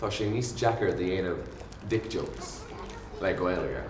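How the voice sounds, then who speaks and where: A man speaks with an Irish accent and ordinary pitch variation. Noticeable background noise runs under the recording. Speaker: spoken word poet. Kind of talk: poetry reading.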